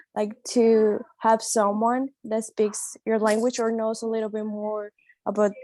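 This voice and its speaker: A woman's fairly high-pitched voice in a Spanish accent, at a moderate pace, with a dry, close sound with no echo and a very clean recording with a silent background. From Colombia. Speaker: international student. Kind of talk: panel discussion.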